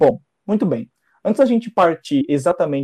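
A man's dark, mellow voice, recorded dry and close with no echo. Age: 20s. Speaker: podcast host. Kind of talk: casual chat.

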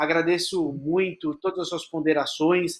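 A man speaks very slowly in a high pitch. The recording is very clean, with a silent background. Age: 30s. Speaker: lawyer moderating a legal webinar. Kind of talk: panel discussion livestream. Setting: studio.

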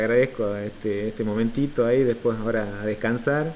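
A man with an Argentine accent speaks at a moderate pace in a medium-pitched voice with ordinary pitch variation. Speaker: podcast host. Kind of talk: interview; podcast intro/outro. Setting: video call. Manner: halting, many repetitions and fillers.

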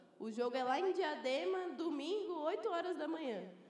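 A woman's voice moves through very wide pitch swings. Noticeable background noise sits behind her. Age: 20s. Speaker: 3x3 basketball player and student. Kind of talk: panel discussion. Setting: live event with audience.

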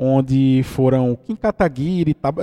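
A man's dark, mellow tone comes through dry and close, without any echo. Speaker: podcast host. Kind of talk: casual commentary monologue. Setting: at home. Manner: animated, indignant.

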